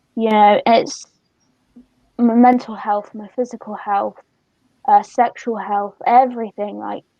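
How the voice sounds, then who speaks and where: A woman in a Somerset accent, fairly high-pitched yet dark and mellow in tone, at a fairly slow pace with long, frequent pauses, monotone, flat intonation and big swings in loudness. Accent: Somerset accent, noticeable. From Somerset, England. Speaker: youth charity worker and co-host. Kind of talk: casual chat.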